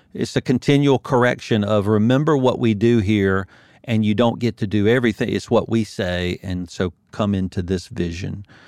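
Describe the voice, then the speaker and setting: Over a quiet background, a man with a fairly low pitch speaks at a moderate pace. His pitch variation is ordinary, and the sound is dry and close with no echo. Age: 50s. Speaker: accounting firm owner and business coach. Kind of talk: casual interview.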